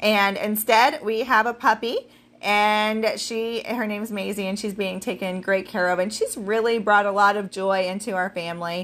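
With an ordinary speaking voice, a woman of medium pitch talks at a moderate pace with fairly even intonation, recorded very cleanly over a silent background. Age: 40s. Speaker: podcast host and business owner. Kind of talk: solo podcast talk. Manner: casual, with fillers.

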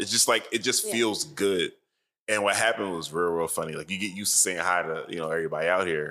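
A man with an American accent talks at a very fast pace in a very deep, low pitch, with ordinary pitch variation, on a very clean recording with a silent background. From Chester, Pennsylvania. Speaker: DJ. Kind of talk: casual chat.

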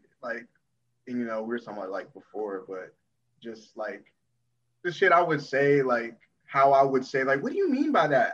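A normal speaking voice from a man at medium pitch, with an American accent and a fairly quick pace. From Charlotte, North Carolina. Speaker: musical artist. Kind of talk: casual chat.

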